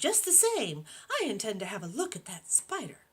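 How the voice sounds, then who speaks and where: A woman's put-on character voice, fairly high in pitch, with big swings in loudness. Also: moderate pace. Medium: read story.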